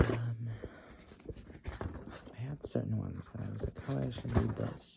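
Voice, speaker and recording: Whispering and soft-spoken with a gentle tone, the speaker keeps a moderate pace over noticeable background noise. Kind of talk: casual chatty talk to the listener between poems. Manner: soft-spoken, gentle, whispery.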